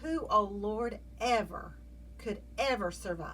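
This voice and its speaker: Speaking very slowly in a Southern US accent, a woman is heard with audible room echo. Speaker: Bible teacher. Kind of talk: devotional Bible study talk. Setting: video.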